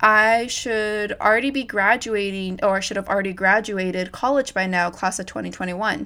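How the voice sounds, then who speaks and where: With an American accent, a woman talks at a moderate pace in a medium pitch and a bright, sharp tone, on a very clean recording with a silent background. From California. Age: 20s. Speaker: podcast host. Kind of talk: solo podcast monologue, casual.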